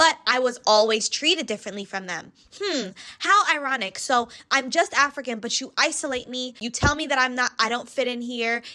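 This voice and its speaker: A bright, sharp-toned voice with an American accent moves at a fairly quick pace with lively intonation. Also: woman, high pitch for a woman. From US, West Indian family. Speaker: commentary vlogger. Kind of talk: reaction commentary.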